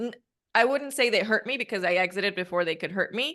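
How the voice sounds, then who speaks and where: Against a quiet background, a woman with a Spanish accent speaks at a medium pitch in a bright, sharp tone. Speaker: podcast host and coach. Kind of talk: casual interview chat.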